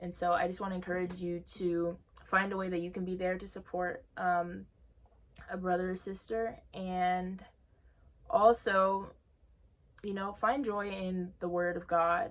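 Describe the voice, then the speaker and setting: A woman's medium-pitched, monotone, flat voice at a fairly slow pace, broken by long, frequent pauses. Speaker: beauty vlogger. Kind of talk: bible study message.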